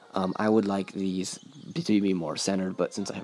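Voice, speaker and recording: A man with a fairly low pitch and vocal fry speaks at a moderate pace. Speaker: gaming YouTuber. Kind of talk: gameplay tutorial. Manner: hesitant, filler-heavy.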